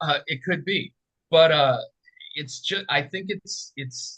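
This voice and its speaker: Ordinary pitch variation marks a man's bright, sharp tone. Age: 60s. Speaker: political writer. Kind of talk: casual chat. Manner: halting.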